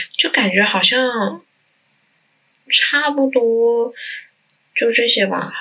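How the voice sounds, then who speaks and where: A woman is speaking. Her voice is fairly high. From Changsha, Hunan. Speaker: guest, local resident. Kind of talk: casual chat.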